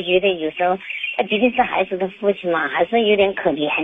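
Someone with a Chongqing accent talks at a fairly quick pace with ordinary pitch variation amid noticeable background noise. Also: woman. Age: 50s. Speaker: caller. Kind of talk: phone call-in. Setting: phone call. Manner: halting.

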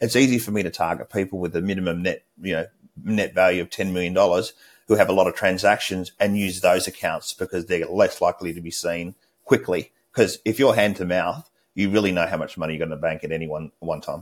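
A man with an Australian accent speaks at a fairly quick pace in a very deep, low pitch, with ordinary pitch variation, on a very clean recording with a silent background. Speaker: cybersecurity expert. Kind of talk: interview.

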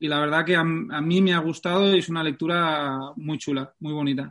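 A man speaks in a plain, everyday voice, fairly high in pitch, with fairly even intonation. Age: 30s. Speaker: football fitness coach. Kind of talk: interview.

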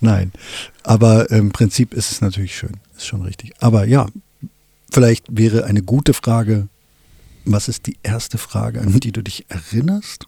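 This man's fairly low, somewhat breathy voice has a dark, mellow tone, big swings in loudness, a moderate pace with long, frequent pauses, and a dry, close sound with no echo. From Wolfsburg, Lower Saxony, Germany. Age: 50s. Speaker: filmmaker and podcast co-host. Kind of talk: casual chat.

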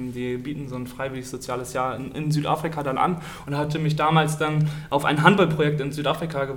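A man with a fairly high voice talks at a fairly quick pace with fairly even intonation, with audible room echo around him. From northern Germany, district of Stade. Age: 20s. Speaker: handball goalkeeper. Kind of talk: casual interview. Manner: hesitant, many fillers.

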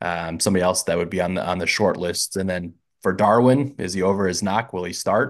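Against a quiet background, a man with an American accent speaks at a fairly quick pace in a very deep, low pitch with ordinary pitch variation. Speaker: podcast host. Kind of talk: casual chat. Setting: video call.

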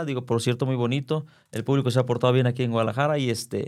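The recording is very clean with a silent background. A man speaks at a very fast pace with fairly even intonation. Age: 40s. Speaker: circus performer. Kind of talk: interview.

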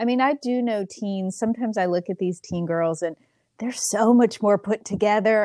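In a very clean recording with a silent background, a woman speaks in an ordinary speaking voice at medium pitch with ordinary pitch variation. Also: dry, close sound with no echo. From Pennsylvania. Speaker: podcast host. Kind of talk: casual chat.

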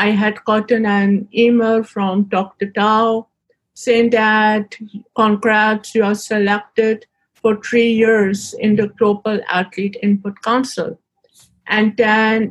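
A woman's fairly high, somewhat breathy voice, very slow, with monotone, flat intonation. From Pakistan. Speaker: Special Olympics athlete. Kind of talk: interview. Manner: halting.

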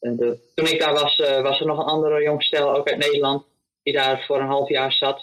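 The man's voice sits fairly high for a male. He talks fairly quickly. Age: 20s. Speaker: volunteer, vegetable grower. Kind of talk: interview. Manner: hesitant, many fillers.

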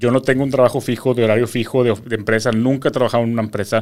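This man speaks very fast with a Mexican accent at a medium pitch. The recording is very clean, with a silent background. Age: 30s. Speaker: social media entertainer. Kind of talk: casual interview chat. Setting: studio.

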